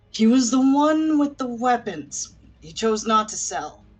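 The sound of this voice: A female-sounding, put-on character voice speaks fairly slowly at a high pitch.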